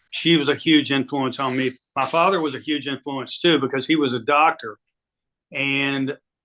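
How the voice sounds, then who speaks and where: A man with an American accent and a fairly high pitch speaks at a moderate pace in a plain, everyday voice, his intonation fairly even. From Virginia, Roanoke area. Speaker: music industry executive. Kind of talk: interview.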